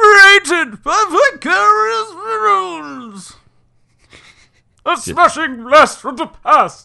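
In a put-on character voice with a high pitch and very wide pitch swings, the speaker goes very slowly against a quiet background. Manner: loud, punchy, showy announcer delivery.

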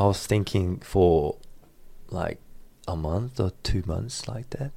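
On a very clean recording with a silent background, a man with a Korean accent speaks at a very slow pace and a very deep, low pitch. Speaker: student and baseball coach. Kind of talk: interview.

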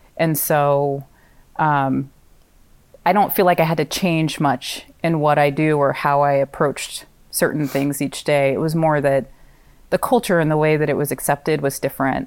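A woman with an American accent and a very deep, low pitch speaks at a moderate pace, her intonation fairly even and her loudness very even. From US West Coast (Pacific Northwest, California). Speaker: nonprofit housing CEO. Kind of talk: interview.

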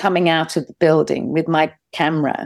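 A woman speaks with a London accent on a very clean recording with a silent background. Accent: British English (London). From England. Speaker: documentary filmmaker. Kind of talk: interview.

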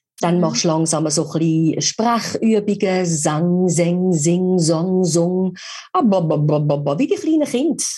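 Speaking at a very slow pace, a woman has a dark, mellow tone and a fairly low pitch, somewhat breathy. Her loudness stays very even and her pitch varies in an ordinary way. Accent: Swiss. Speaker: voice-over artist and speech coach. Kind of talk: casual interview.

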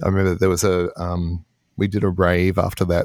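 In a very clean recording with a silent background and a dry, close sound with no echo, a man with an Australian accent speaks at a very deep, low pitch. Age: 50s. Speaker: electronic musician. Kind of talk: interview.

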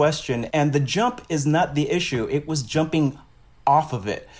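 A man with a New York accent speaks over noticeable background noise. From Brooklyn, New York. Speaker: Broadway actor. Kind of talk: casual interview.

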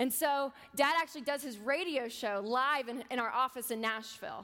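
A woman speaks with an American accent in a high pitch with ordinary variation. Her tone is bright and sharp. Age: 20s. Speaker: personal finance author and speaker. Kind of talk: sermon-style talk.

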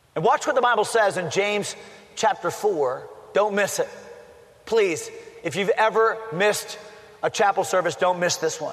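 Against noticeable background noise, a high-pitched man speaks at a moderate pace with ordinary pitch variation and long, frequent pauses. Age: 50s. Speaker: pastor. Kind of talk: sermon. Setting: college chapel service.

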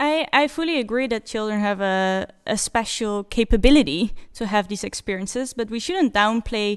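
A woman with a Dutch accent at a fairly high pitch, moderate in pace and lively in intonation, over a quiet background. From Netherlands. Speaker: PhD researcher. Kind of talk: panel discussion. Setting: studio.

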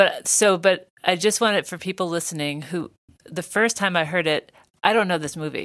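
The recording is very clean, and the background is silent. An unremarkable speaking voice goes at a fairly quick pace, its pitch varying in an ordinary way. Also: woman. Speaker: podcast host. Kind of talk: casual interview conversation.

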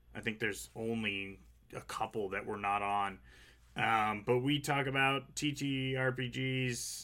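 The speaker moves at a very slow pace, with ordinary pitch variation. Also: man. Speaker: podcast host. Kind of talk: casual chat. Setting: livestream.

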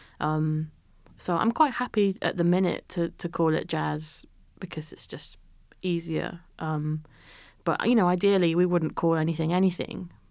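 A woman with a Yorkshire accent speaks at a moderate pace in a fairly low pitch. Her intonation is fairly even, and the recording is very clean with a silent background. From Yorkshire, northern England. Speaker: jazz musician and producer. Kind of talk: interview. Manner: hesitant, many fillers.

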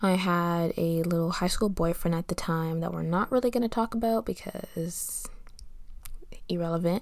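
A woman speaks in a plain, everyday voice at a fairly low pitch and a moderate pace. Her pitch variation is ordinary. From Canada. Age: 20s. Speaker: podcast host. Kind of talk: casual chat.

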